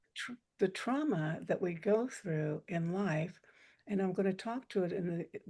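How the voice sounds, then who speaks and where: A soft-spoken woman at medium pitch, dark and mellow in tone, with ordinary pitch variation and a fairly slow pace. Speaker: breathwork teacher. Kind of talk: guided meditation. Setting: video call.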